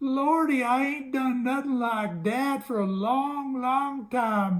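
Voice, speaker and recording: A woman's put-on character voice, high-pitched with ordinary pitch variation, very even loudness and a fairly slow pace. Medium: read story. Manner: timid, hesitant, ungrammatical folksy speech.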